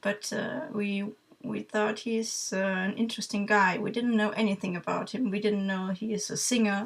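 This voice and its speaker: Against noticeable background noise, a woman speaks at a moderate pace. Her medium-pitched voice is monotone and flat. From Germany. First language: German. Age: 30s. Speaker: vlogger, music fan. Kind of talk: casual talk to camera. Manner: halting, many fillers.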